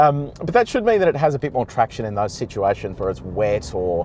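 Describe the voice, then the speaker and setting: This man talks with an Australian accent. He moves at a fairly quick pace. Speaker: car reviewer. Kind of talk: driving commentary. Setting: in a car towing a trailer. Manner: casual, hesitant with fillers.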